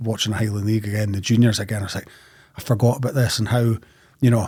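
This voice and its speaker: A man speaks at a very fast pace in a flat monotone. His tone is dark and mellow, and somewhat breathy. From northeast Scotland, Ellon, Aberdeenshire. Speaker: football author. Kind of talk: casual podcast interview. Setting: studio.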